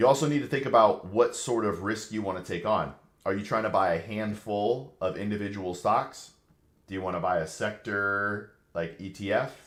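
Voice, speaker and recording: A man's moderate-paced talking carries audible room echo around it. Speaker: financial advisor answering live questions. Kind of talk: livestream Q&A. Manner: casual, conversational.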